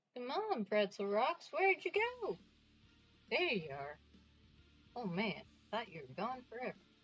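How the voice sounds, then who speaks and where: With music in the background, a woman with an American accent speaks at a fairly slow pace, leaving long, frequent pauses. Her fairly high voice moves through very wide pitch swings and big swings in loudness. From US Northeast. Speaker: streamer making a Halloween costume piece. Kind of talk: casual livestream chat while crafting.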